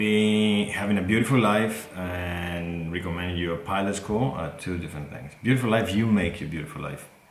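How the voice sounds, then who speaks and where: A man's very deep, low voice with a Greek accent, ordinary pitch variation, hardly any pauses and big swings in loudness, with audible room echo and music in the background. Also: moderate pace. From Greece. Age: 30s. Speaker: airline pilot and video creator. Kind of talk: Q&A monologue to camera. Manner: hesitant, with fillers.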